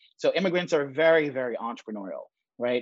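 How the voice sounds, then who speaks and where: A man speaks fairly quickly in a normal speaking voice at a fairly high pitch with ordinary pitch variation. The sound is dry and close with no echo, over a quiet background. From New York (Bronx), born in Jamaica. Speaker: startup founder and investor. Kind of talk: interview.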